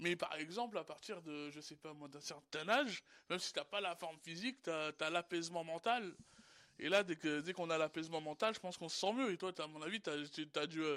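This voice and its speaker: Bright and sharp in tone, a man's high-pitched voice moves at a fairly quick pace with ordinary pitch variation, recorded very cleanly, dry and close with no echo, against a silent background. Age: 20s. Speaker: homeless person, radio columnist. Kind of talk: casual chat. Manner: halting.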